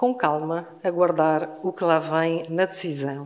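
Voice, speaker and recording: Speaking very slowly in a Lisbon accent, a woman has a fairly low pitch and ordinary pitch variation. Noticeable background noise and audible room echo fill the recording. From Portugal, Lisbon. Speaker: law professor. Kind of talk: conference panel talk. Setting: university hall with audience. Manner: deliberately slow.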